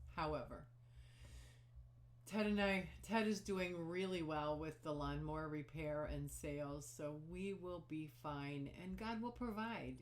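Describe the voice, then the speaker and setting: A woman talks very slowly amid audible room echo. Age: 60s. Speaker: knitting podcaster. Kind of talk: casual chat. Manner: halting.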